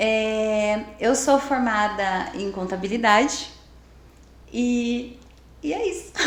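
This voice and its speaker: Heard with audible room echo, a woman talks in a fairly high voice with ordinary pitch variation. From Brazil, Amparo (São Paulo state). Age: 40s. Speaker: belly dance teacher and salesperson. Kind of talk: interview. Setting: studio.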